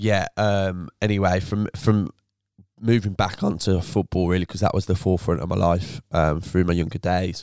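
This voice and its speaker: A man with a Birmingham accent, very deep and low in pitch, with fairly even intonation at a moderate pace, dry and close with no echo, in a very clean recording with a silent background. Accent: Birmingham (Brummie). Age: 20s. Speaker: former footballer turned entrepreneur. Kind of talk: casual interview chat.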